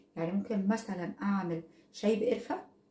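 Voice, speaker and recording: A woman speaks in an Egyptian accent at a moderate pace. Her pitch is medium, with ordinary pitch variation. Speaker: product reviewer vlogger. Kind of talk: casual product review vlog. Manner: conversational, hesitant fillers.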